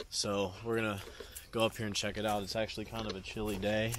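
A man with a fairly low pitch speaks in a monotone, flat way, his voice dry with no echo amid noticeable background noise. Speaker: urban explorer vlogger. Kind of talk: casual vlog chat. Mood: calm, slightly uneasy. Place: open country. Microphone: phone near.

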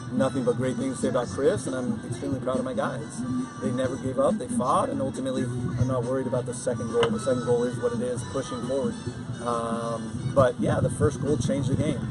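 A man rattles off his words at a very fast pace as loud music plays behind him. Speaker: head coach. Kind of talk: interview answer. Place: stadium.

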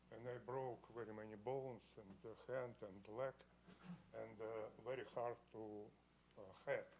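The speech moves at a fairly slow pace with long, frequent pauses. The intonation is monotone and flat. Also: man, medium pitch for a man. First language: Russian. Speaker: variance applicant. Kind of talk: testimony. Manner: halting.

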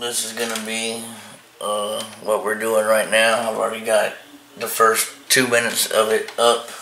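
Over light background noise and audible room echo, a man speaks with flat, monotone intonation. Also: moderate pace. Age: 30s. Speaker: vlogger. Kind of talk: casual vlog. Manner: hesitant, with fillers. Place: home room. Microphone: phone near.

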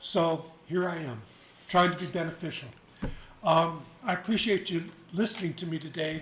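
A man's high-pitched voice with ordinary pitch variation and long, frequent pauses. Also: moderate pace. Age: 70s. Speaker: volunteer firefighter speaking at public comment. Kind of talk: public comment at county meeting. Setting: county commission meeting. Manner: halting.

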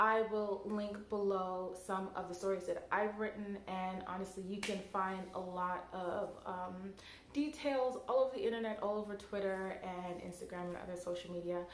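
With light background noise and audible room echo, a woman speaks at a moderate pace with fairly even intonation. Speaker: tech blogger. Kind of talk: casual vlog commentary. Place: home room.

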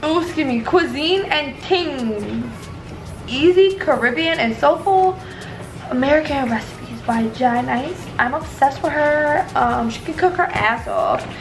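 A woman talks at a fairly slow pace in a high voice. Clear music plays in the background. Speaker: cooking vlogger. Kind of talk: casual vlog chat. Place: kitchen. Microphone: phone near.

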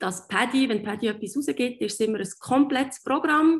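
A somewhat breathy woman at a moderate pace, lively intonation over a quiet background. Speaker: dive instructor. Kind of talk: online presentation. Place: home room. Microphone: webcam.

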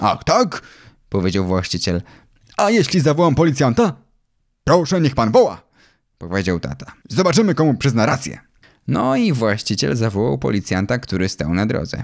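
A man's medium-pitched voice with very wide pitch swings and vocal fry, in a very clean recording with a silent background. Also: moderate pace. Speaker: audiobook narrator. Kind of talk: audiobook reading of a children's story, narrated in first person as a boy.

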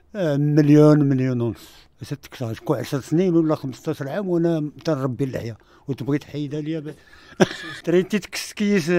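A fairly slow pace and dark, mellow tone with ordinary pitch variation, in a dry sound with no echo. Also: man, fairly high pitch for a man. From Ouarzazate, Morocco; Morocco. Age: 60s. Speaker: film extra. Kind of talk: radio interview. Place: studio.

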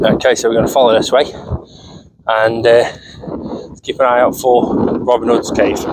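Noticeable background noise surrounds a man talking at a moderate pace. His intonation is monotone and flat, broken by long, frequent pauses. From England. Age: 30s. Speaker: travel vlogger. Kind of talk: walking vlog narration. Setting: outdoors. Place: open country. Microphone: phone near.

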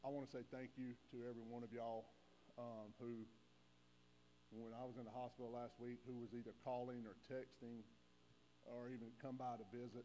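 A man speaks fairly quickly in a dark, mellow tone. His intonation stays monotone and flat, with light background noise behind him. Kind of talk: welcome, prayer and personal thanks. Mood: grateful, emotional. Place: church. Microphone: lapel.

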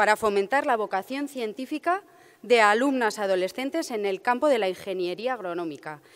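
The speaker keeps a moderate pace. Their pitch swings very widely. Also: woman, quiet background. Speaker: event presenter; presenter. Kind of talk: formal event presentation. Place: hall. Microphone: podium.

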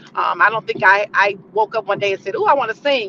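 There is noticeable background noise as a woman speaks at a very fast pace. The sound is dry, with no echo. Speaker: interview guest. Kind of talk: interview answer. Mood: warm, earnest. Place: car. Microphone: video call.

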